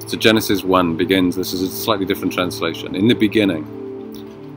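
A man speaks in a very deep, low voice at a moderate pace. The sound is dry with no echo, and music plays in the background. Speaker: devotional host. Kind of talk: devotional reflection. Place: car. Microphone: phone near.

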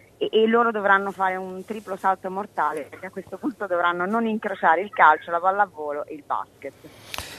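The speaker has a plain, everyday voice with ordinary pitch variation. There are hardly any pauses, and loudness swings widely. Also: woman, medium pitch for a woman, fairly quick pace. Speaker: sports event organizer. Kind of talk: interview. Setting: outdoors.

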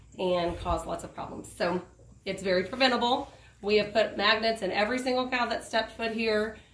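The speech moves at a fairly quick pace with ordinary pitch variation and audible room echo. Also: woman. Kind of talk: tutorial. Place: open country. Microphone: camera far.

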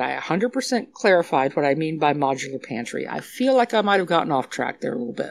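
A woman with an American accent, vocal fry, very wide pitch swings and a fairly quick pace. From South Texas (San Antonio). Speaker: budget meal planner. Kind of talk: casual chat. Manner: animated.

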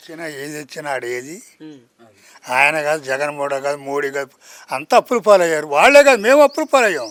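This man has a plain, everyday voice, fairly high in pitch, with lively intonation. His loudness swings widely, and the sound is dry and close with no echo. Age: 60s. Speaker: farmer. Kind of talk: street interview answer. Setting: outdoors.

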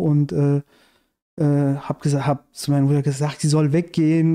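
His tone is dark and mellow. Behind him, the background stays quiet. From Iran, raised in Germany from childhood. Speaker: screenwriter and activist; podcast guest. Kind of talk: casual interview conversation. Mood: calm narrating a dream. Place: home room. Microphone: studio mic.

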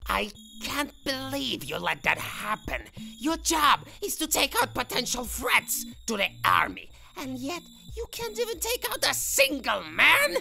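A female-sounding cartoonish character voice speaks at a moderate pace. Clear background noise runs underneath. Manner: angry, ranting, defensive.

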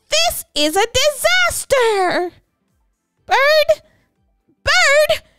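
A woman's put-on character voice, extremely high and bright, sharp in tone, with big pitch swings at a very slow pace over faint music in the background.

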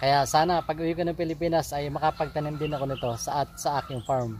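A man with a fairly high pitch talks at a very fast pace with ordinary pitch variation, the sound dry with no echo and light background noise behind him. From Philippines. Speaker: gardening vlogger, overseas Filipino worker; home gardener vlogger. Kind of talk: casual tutorial vlog; casual vlog tutorial. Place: garden. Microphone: phone near.

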